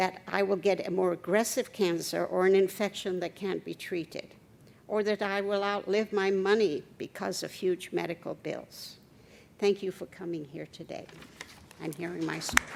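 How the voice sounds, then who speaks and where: A woman at a medium pitch speaks at a moderate pace in a flat monotone with vocal fry. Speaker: patient advocate. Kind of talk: testimony.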